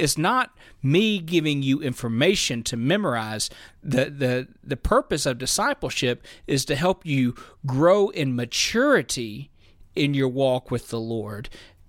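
A man with an American accent speaks at a fairly slow pace, his fairly high pitch carried by lively intonation. The recording is very clean with a silent background. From US South, Memphis. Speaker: pastor. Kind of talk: casual chat. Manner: halting, repeats words.

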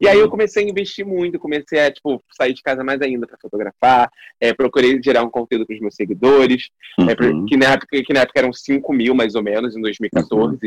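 Dry and close with no echo, a man's unremarkable speaking voice at medium pitch moves at a fairly quick pace with big swings in loudness. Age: 20s. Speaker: actor and digital influencer. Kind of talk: casual interview.

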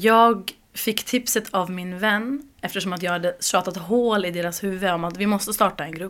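A woman with a plain, everyday voice speaks at medium pitch and a moderate pace, her intonation fairly even. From Uppsala, Sweden. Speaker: community group organizer. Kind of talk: interview.

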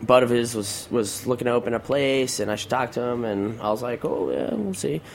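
In an American accent, a man speaks at a medium pitch with ordinary pitch variation. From Arizona, Mexican border. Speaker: chef. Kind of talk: casual chat.

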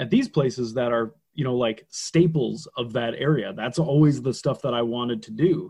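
Somewhat breathy, the speaker talks with an American accent at a fairly quick pace and ordinary pitch variation. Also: man. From Minnesota, small town Detroit Lakes. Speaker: wrestler. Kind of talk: casual interview chat, storytelling.

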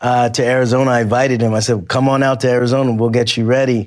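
An ordinary speaking voice, belonging to a man. He talks at a fairly quick pace and a medium pitch. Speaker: translator and coach.

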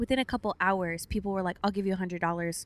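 A woman's normal speaking voice with an American accent, medium pitch, fairly even intonation and fairly quick pace, in a dry, close sound with no echo. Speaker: podcast co-host, new mother. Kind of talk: casual chat. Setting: in a car.

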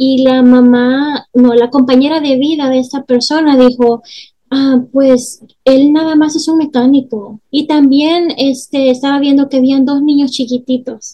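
This woman talks at a fairly slow pace in a high pitch, her intonation monotone and flat and her tone dark and mellow. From El Salvador. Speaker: family and marriage therapist, podcast host. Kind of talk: interview.

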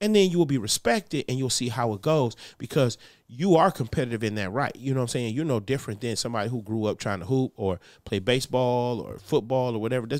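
On a very clean recording with a silent background, a man speaks at a very fast pace with a medium pitch and lively intonation. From Detroit, US. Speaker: comedian. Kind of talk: casual chat. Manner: animated.

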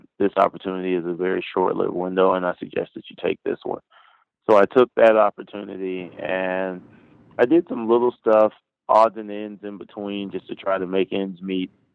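A man's fairly low voice with an American accent, a plain, everyday voice at a moderate pace, fairly even intonation, and big swings in loudness. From US South, Florida (Orlando, Pine Hills). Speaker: professional long drive golfer. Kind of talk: interview.

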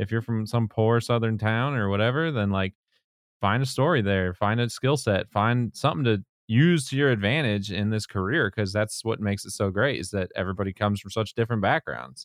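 A man with a plain, everyday voice talks at a fairly quick pace in a fairly low pitch with ordinary pitch variation. The recording has a quiet background and a dry, close sound with no echo. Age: 30s. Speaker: podcast host, photographer. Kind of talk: casual interview.

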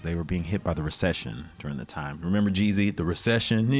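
Someone with an American accent talks at a very fast pace with lively intonation amid noticeable background noise. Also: man. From US South, Memphis, Tennessee (from age 11-12, born Chicago). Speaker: actor. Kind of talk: casual interview chat.

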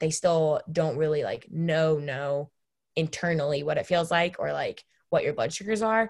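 A woman with a normal speaking voice, fairly low in pitch, at a moderate pace. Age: 20s. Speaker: college student with diabetes. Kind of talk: interview.

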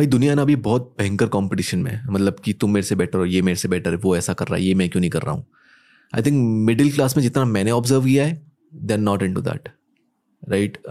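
On a very clean recording with a silent background, a man speaks in a fairly low pitch. His tone is dark and mellow, his intonation lively. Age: 20s. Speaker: entrepreneur and business coach. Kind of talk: casual chat.

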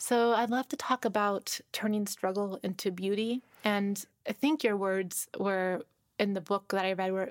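A woman with a plain, everyday voice speaks at a fairly slow pace and medium pitch, keeping her intonation fairly even. The recording is very clean with a silent background, and the sound is dry and close with no echo. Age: 30s. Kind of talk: interview conversation. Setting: studio.

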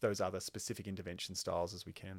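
With an Australian accent, a man talks at a fairly low pitch on a very clean recording with a silent background. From Queensland, Australia. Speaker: occupational therapy lecturer. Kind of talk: podcast interview.

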